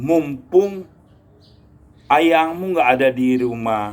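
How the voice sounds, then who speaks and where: With very wide pitch swings, a man speaks at a very slow pace. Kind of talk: casual talk to camera.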